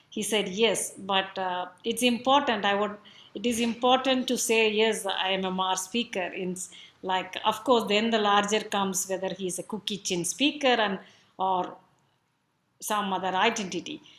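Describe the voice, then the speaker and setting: A woman speaks with a Tamil accent at a moderate pace. Her pitch is medium, with ordinary variation. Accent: Tamil Indian. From South India, Tamil. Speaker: speaker at a cultural event. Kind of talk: talk on language and identity.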